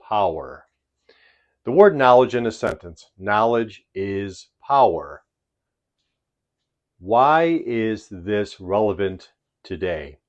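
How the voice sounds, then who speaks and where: Speaking with a Chicago accent, a man has a fairly low pitch and a very slow pace. He leaves long, frequent pauses over a quiet background. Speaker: English teacher. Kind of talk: tutorial. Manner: slow, deliberate.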